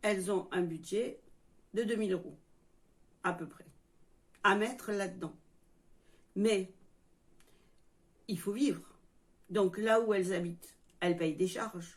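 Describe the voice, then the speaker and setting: A woman speaks slowly, with fairly even intonation and a medium pitch. Long, frequent pauses break up her speech. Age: 60s. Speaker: YouTuber, retiree. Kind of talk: casual vlog monologue. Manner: halting.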